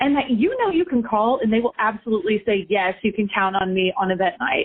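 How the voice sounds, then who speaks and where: In an ordinary speaking voice, a woman speaks at a moderate pace and a fairly high pitch. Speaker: benefit auctioneer, fundraising consultant. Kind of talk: interview answer.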